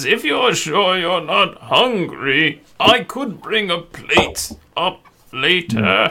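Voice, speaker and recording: Using a put-on character voice, a man speaks at a very slow pace and a high pitch. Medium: actual play. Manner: courteous, hospitable.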